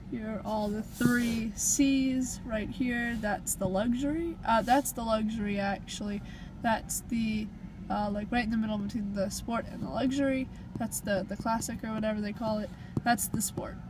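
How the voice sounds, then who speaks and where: With noticeable background noise but a dry sound free of echo, a woman talks at a moderate pace in a somewhat breathy voice with fairly even intonation. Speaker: car buyer vlogger. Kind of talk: casual vlog chat. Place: shop. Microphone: phone near.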